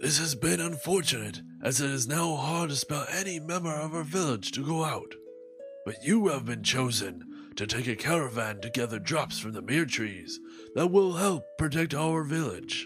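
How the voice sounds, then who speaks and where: A man puts on a character voice, pitched fairly high, at a moderate pace. Music plays clearly in the background. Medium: audio drama. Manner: solemn, measured.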